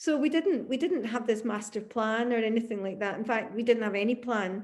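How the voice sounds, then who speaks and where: A woman with a Glasgow accent, fairly high in pitch, at a fairly quick pace. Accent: Scottish (Glasgow). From Glasgow, Scotland. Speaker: singer, guitarist, songwriter. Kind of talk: interview answer.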